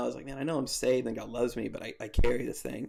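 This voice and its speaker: The background is silent and the recording very clean. The speaker is a man. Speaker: former youth pastor. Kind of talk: casual interview conversation. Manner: loud and boisterous; halting, many fillers.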